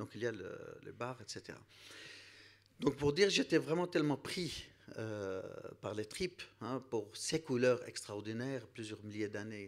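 Long, frequent pauses, big swings in loudness and a fairly slow pace against a quiet background. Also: man, medium pitch for a man. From Iraq. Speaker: priest. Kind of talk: panel discussion. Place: hall. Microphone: handheld.

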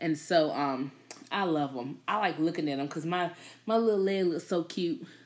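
Her fairly low voice has an animated tone as this woman speaks at a moderate pace with ordinary pitch variation. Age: 30s. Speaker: YouTube livestream host. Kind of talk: casual chat. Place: home room. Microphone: phone near.

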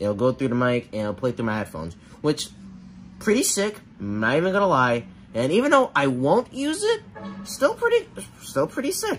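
With music in the background, a man talks at a moderate pace, leaving long, frequent pauses. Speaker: tech vlogger. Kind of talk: casual unboxing demo chat. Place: home room. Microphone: phone near.

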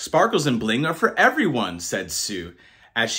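This is a natural reading voice. Nothing more is marked.

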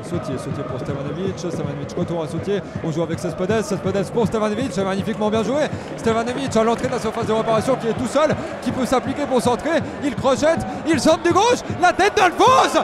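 A man's fairly quick speech with very wide pitch swings, over noticeable background noise. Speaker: football match commentator. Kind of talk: live sports commentary. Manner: rapid-fire, breathless play-by-play, names shouted in quick succession.

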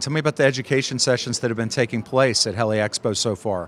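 Here a man talks at a fast pace. His tone is fairly bright.

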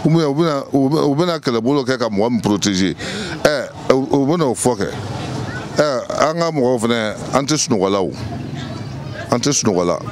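A man at medium pitch speaks at a fairly slow pace with lively intonation. Background noise is clearly audible.

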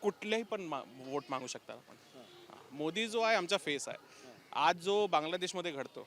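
The man's pitch sits high. His intonation is lively. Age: young. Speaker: park visitor. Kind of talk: street interview. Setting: outdoors.

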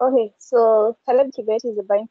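A woman with a fairly high pitch speaks against a quiet background. The sound is dry, with no echo. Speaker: session moderator. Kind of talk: online session moderation. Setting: video call. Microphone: video call.

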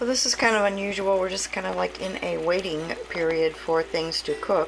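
The speaker is a woman. Background noise is noticeable. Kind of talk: casual cooking vlog narration. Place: kitchen. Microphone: phone near.

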